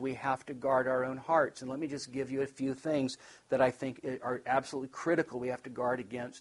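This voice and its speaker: In an American accent, a man talks at a moderate pace with monotone, flat intonation. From Nevada, US. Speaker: pastor and conference speaker. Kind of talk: conference talk, sermon-like teaching. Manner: conversational with many fillers and restarts.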